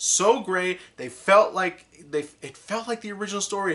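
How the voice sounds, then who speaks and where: The man's voice has a bright, sharp tone. He is the one speaking here. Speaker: anime reviewer. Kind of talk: unscripted video review. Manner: halting, many fillers and restarts.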